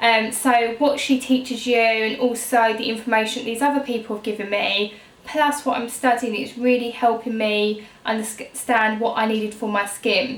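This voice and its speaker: A woman with a southern English accent speaks at a moderate pace in a fairly high, flat, monotone voice, with hardly any pauses. Audible room echo and noticeable background noise fill the recording. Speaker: beauty YouTuber. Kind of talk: casual vlog talk. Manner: hesitant, many fillers.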